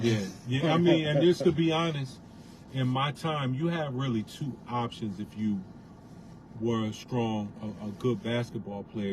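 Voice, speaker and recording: Over noticeable background noise, a man with an American accent speaks at a fairly slow pace and medium pitch. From Bridgeport, Connecticut. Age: 40s. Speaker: former basketball player, restaurant entrepreneur. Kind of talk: casual chat.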